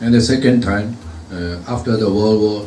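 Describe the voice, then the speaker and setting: Speaking with a Japanese accent at a moderate pace, a man with a fairly low pitch keeps his intonation fairly even, amid audible room echo and noticeable background noise. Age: 60s. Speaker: retired engineer, speaker at commemoration. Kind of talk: speech. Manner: halting, many fillers.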